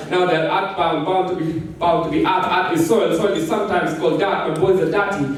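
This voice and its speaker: The voice is animated and fairly quick with hardly any pauses, over noticeable background noise and audible room echo. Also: man, high pitch for a man. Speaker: spoken word poet. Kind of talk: spoken word performance. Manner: intense, emotive.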